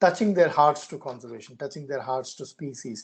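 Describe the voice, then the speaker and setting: A man talks with a Karnataka accent. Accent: Indian English, Kannada. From India, Karnataka. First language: Kannada. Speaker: conservationist. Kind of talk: interview. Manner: halting.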